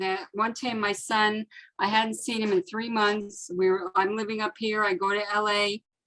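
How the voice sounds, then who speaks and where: An unremarkable speaking voice at a moderate pace. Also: woman. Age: 60s. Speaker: workshop participant. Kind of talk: casual discussion.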